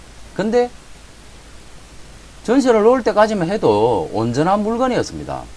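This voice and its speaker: Speaking at a moderate pace with a Gyeongsang accent, a man is heard over noticeable background noise. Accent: Gyeongsang accent, trouble with some sounds. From Gyeongsang region, South Korea. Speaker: real estate auction educator. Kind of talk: lecture. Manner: casual, filler-heavy.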